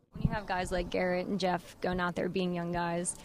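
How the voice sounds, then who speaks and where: A normal speaking voice from a woman, fairly quick and medium-pitched. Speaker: sports reporter. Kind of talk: interview questions.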